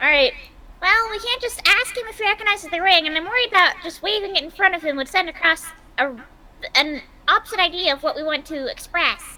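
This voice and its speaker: A put-on character voice with an extremely high pitch races along at a very fast pace. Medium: actual play.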